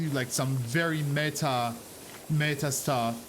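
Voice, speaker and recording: A man speaks with a non-native accent and ordinary pitch variation. Audible room echo surrounds his voice. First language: not English. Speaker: streamer. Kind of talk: casual chat. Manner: animated.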